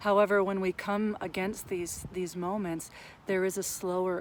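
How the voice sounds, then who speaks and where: A woman's voice at medium pitch and moderate pace, an unremarkable speaking voice. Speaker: counselor and mindfulness vlogger. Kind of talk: monologue on mental health.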